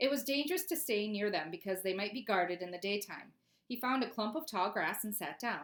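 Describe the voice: Plain reading aloud carries lively intonation.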